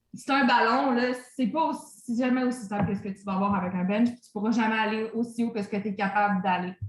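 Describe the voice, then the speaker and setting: A woman speaks at a fairly quick pace in a fairly high pitch, with ordinary pitch variation. Her loudness swings widely. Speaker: fitness coach. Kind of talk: online training session Q&A. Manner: casual, hesitant with many fillers.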